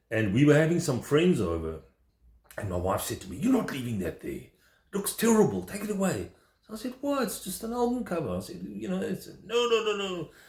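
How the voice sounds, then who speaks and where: A man speaks at a fairly quick pace, his loudness swinging widely. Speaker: vinyl record collector. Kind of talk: casual video vlog. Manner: fast; enthusiastic.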